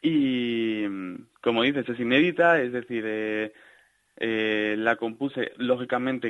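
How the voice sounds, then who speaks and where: This man talks at a fairly slow pace. His pitch sits in the medium range. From Salamanca, Spain. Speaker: clarinetist and composer. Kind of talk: interview. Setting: phone call.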